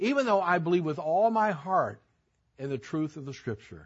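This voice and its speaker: With lively intonation and a somewhat breathy voice, a man speaks at a moderate pace. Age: 70s. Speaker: Bible teacher. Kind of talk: Bible class teaching. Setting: church service.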